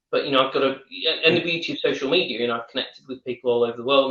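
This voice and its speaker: At a very fast pace, a man talks in a northern English accent. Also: big swings in loudness. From northern England. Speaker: wine educator. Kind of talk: casual chat.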